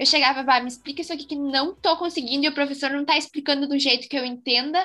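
A woman's raised, projected voice, high in pitch with fairly even intonation, over noticeable background noise. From interior of Rio Grande do Sul, Brazil. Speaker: engineering student, co-host. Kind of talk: casual chat.

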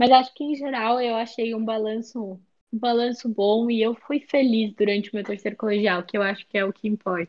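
A woman's unremarkable speaking voice, fairly high in pitch, with fairly even intonation and a moderate pace. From Brazil, São Paulo state (Sorocaba). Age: young. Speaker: student. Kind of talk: casual interview.

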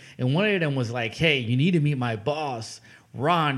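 A man with a normal speaking voice talks at a fairly quick pace and medium pitch, with ordinary pitch variation. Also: very clean recording, silent background. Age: 20s. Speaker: podcast host. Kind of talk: casual interview chat.

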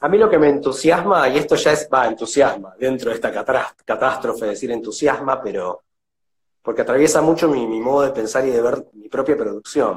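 A man's fairly high, somewhat breathy voice at a fairly quick pace, with ordinary pitch variation. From Buenos Aires, Argentina. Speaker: visual artist and art teacher. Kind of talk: casual interview. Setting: video call.

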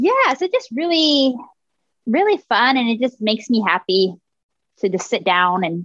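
Here is a woman with an ordinary speaking voice and lively intonation at a moderate pace. Her sound is dry and close, with no echo. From Texas. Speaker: podcast host and artist. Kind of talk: casual chat.

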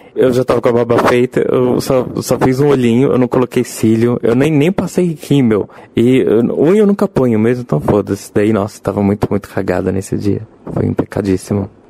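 Noticeable background noise sits behind a man speaking at medium pitch and a fairly quick pace. His intonation is lively, his loudness very even, and the sound dry and close with no echo. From Brazil, Rio de Janeiro. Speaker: game designer and drag performer. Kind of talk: casual interview chat. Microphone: poor recording quality early on.

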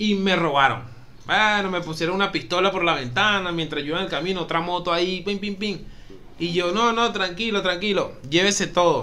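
Audible room echo surrounds a man with a high-pitched, bright, sharp voice. He talks at a fairly quick pace with ordinary pitch variation. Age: 30s. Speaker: podcast co-host. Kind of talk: casual chat.

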